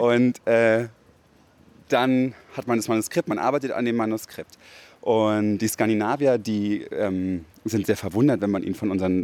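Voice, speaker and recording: A man with a normal speaking voice talks at a moderate pace and fairly low pitch with fairly even intonation, in a very clean recording with a silent background. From Berlin, Germany. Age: 20s. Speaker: radio feature author. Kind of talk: interview.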